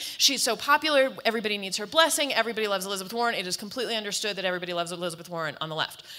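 Amid noticeable background noise, a woman talks at a very fast pace with very wide pitch swings. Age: 40s. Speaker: author and panelist. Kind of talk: panel discussion.

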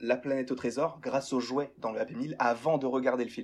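A man speaks at a medium pitch in a monotone with flat intonation. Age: young. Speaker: YouTuber, pop culture fan. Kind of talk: casual chat. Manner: hesitant, many repeated words.

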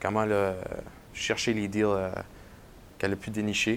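A fairly low-pitched man talks at a moderate pace. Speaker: podcast host, marketing coordinator. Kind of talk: podcast interview.

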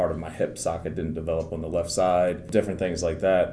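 A man with an American accent and a very deep, low pitch at a very fast pace, amid audible room echo and noticeable background noise. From Maryland, US. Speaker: Paralympic wheelchair basketball player. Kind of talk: interview.

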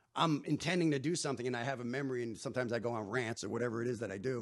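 Speaking very fast with a New Jersey accent, a man keeps a medium pitch and fairly even intonation. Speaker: stand-up comedian. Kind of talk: casual chat.

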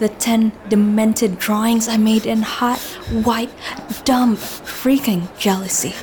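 Talking at a very slow pace with very even loudness, a woman is heard over noticeable background noise. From Indonesia. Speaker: audio drama narrator and actor. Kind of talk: first-person audio drama narration, emotional and confessional. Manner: animated, breathless and urgent, voicing anger and tears, with laughs.

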